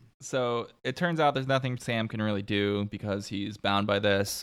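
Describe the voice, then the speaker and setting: A man with a plain, everyday voice, fairly low pitch and a fairly quick pace on a very clean recording with a silent background. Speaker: podcast host. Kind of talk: casual chat.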